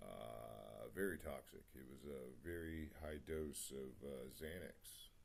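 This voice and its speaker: A man with a very deep, low pitch, mumbling and somewhat breathy, amid audible room echo. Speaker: vlogger sharing personal story. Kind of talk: personal testimony monologue. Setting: home meditation spot, video recording. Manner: halting, many fillers.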